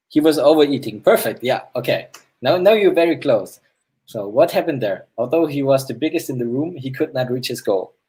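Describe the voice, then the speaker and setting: A man with a German accent has a fairly high pitch and a dark, mellow tone. He talks at a fairly quick pace with lively intonation. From Germany. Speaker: AR game developer. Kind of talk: game hosting on live stream. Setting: live stream. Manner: halting.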